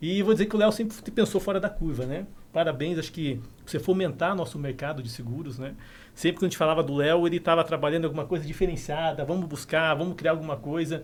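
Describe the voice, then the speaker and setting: This man's voice is fairly high. He talks very fast, with ordinary pitch variation. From southern Brazil, Curitiba. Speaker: insurance company branch manager. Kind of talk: casual podcast interview.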